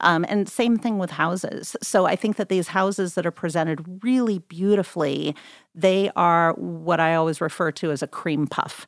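This woman has a fairly low voice and an unremarkable speaking voice. She talks at a moderate pace with ordinary pitch variation. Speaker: real estate agent. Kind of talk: casual interview. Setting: studio.

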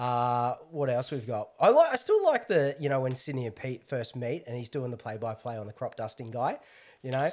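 With an Australian accent, a man talks at a moderate pace and medium pitch, his intonation fairly even but his loudness swinging widely. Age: 30s. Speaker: podcast guest, film fan. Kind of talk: casual chat.

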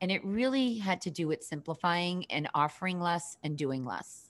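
A woman with a slight Boston accent, very wide pitch swings, and a quiet background. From Boston, Massachusetts. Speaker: business coach. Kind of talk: interview.

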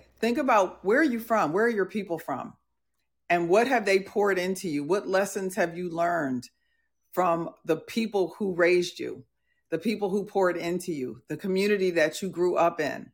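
In a very clean recording with a silent background, a woman speaks with an American accent at a medium pitch and moderate pace. Hers is an unremarkable speaking voice with ordinary pitch variation. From US Northeast and Midwest (New Jersey, Milwaukee). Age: 60s. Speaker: podcast host, leadership coach. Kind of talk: casual live podcast chat. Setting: live audio/video platform with audience.

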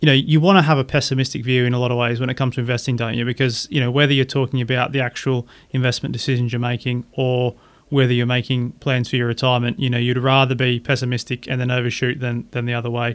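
A man with an Australian accent at a very fast pace, medium pitch and a monotone, flat intonation. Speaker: podcast host and financial planner. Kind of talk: casual interview about investing.

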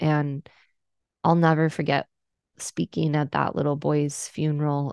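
This woman's voice is very deep and low in pitch. She talks at a moderate pace. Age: 30s. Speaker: pastor. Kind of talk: interview conversation.

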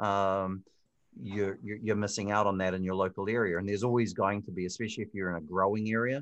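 A man with a New Zealand accent at a very fast pace and fairly low pitch, his intonation fairly even, over a quiet background. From New Zealand, Hamilton. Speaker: digital marketing expert. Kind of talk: interview. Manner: hesitant, many fillers.

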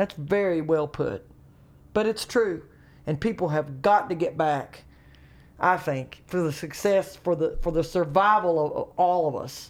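A woman's fairly low voice in a Southern accent at a fairly slow pace, with ordinary pitch variation, in a very clean recording with a silent background. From US South, North Carolina. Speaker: comedian. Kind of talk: casual chat.

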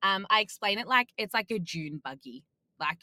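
A woman with an Australian accent speaks at a fairly quick pace in a bright, sharp tone with lively intonation, the sound dry and close with no echo. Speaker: off-road racer. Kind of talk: casual chat.

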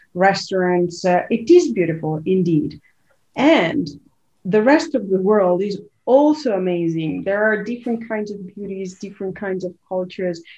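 In an Italian accent, a woman speaks at a moderate pace and medium pitch with lively intonation. Her tone is dark and mellow. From Italy. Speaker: leadership coach and author. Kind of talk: interview.

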